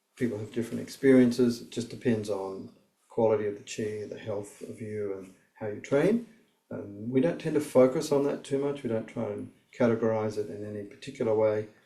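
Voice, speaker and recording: Talking at a fairly quick pace, a man with a medium pitch and a dark, mellow tone keeps his intonation fairly even while his loudness swings widely. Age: 60s. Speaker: martial arts teacher. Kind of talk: instructional talk. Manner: hesitant, many fillers.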